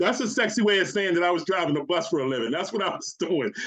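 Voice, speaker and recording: A man talks loudly at a high pitch. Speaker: network marketing presenter. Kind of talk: sales pitch. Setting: video call. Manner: animated.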